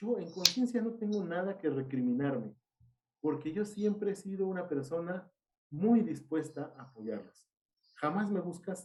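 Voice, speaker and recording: Speaking in a Mexican accent at a moderate pace, a high-pitched man sounds animated, with lively intonation. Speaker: seminary teacher. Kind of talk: casual chat.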